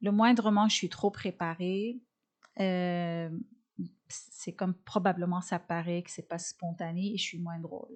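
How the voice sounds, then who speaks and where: Against a quiet background, a woman with a non-native accent talks at a very slow pace, her medium pitch following a fairly even intonation. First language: not French (speaking French). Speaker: comedian and nutritionist. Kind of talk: interview. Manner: halting, many fillers.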